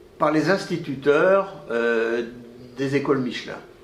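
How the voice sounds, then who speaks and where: A man speaks at a very slow pace in a fairly high pitch with ordinary pitch variation, amid noticeable background noise and audible room echo. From France, Clermont-Ferrand (Auvergne). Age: 80s+. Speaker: retired orthopedic surgeon, professor. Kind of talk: interview, life story. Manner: halting, many repetitions and hesitations.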